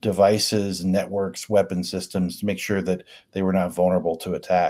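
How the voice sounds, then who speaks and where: In an American accent, a man talks at a fairly quick pace with a fairly low pitch, a dark, mellow tone and fairly even intonation. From US Midwest, Richmond, Indiana. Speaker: cybersecurity consultant, former Air Force intelligence officer. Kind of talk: interview.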